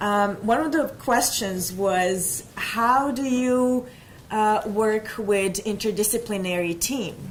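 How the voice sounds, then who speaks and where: A woman talks very slowly at a fairly high pitch with ordinary pitch variation. Audible room echo and noticeable background noise fill the recording. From Bosnia-Herzegovina. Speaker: nurse. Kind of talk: panel presentation.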